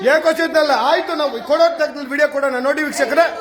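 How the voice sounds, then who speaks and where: A loud man's voice at an extremely high pitch for a man, fairly even in intonation, over noticeable background noise. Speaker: political party worker. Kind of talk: heated argument.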